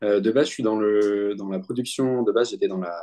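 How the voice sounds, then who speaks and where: A man's fairly low voice with ordinary pitch variation, at a moderate pace. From France, Bordeaux. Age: 20s. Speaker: medium and Ayurveda practitioner. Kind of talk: interview. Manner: halting, many hesitations and repetitions.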